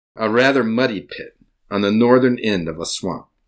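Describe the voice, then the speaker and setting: The recording of a man with an American accent is very clean, over a silent background. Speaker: grandfather storyteller. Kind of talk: storytelling, true personal story told to children. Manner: warm, gentle, unhurried storyteller pacing, playful with kids; animated, interactive, pausing to ask kids questions.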